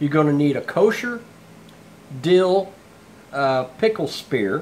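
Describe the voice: A man speaks slowly with lively intonation. His pitch sits fairly high.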